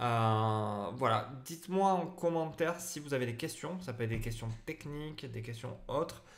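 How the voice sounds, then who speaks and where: This man talks at a moderate pace with a medium pitch and ordinary pitch variation. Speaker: photographer and photography teacher. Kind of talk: live stream Q&A. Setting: live stream on Facebook and Instagram. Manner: hesitant, many fillers.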